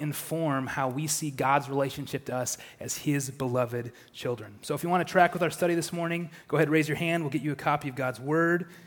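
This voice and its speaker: Using a normal speaking voice, a man talks at a fairly quick pace with fairly even intonation. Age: 30s. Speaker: church elder preaching. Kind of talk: sermon. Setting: church.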